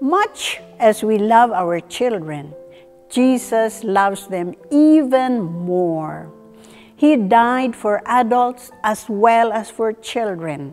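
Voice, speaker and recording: A woman speaks very slowly with faint music in the background. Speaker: presenter. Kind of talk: devotional talk to camera. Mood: warm, gentle. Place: studio. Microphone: lapel.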